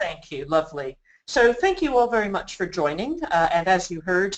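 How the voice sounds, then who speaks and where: The speaker is a woman with an American accent. She keeps a moderate speed. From US West Coast, Los Angeles. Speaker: business consultant. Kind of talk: webinar presentation. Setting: online webinar.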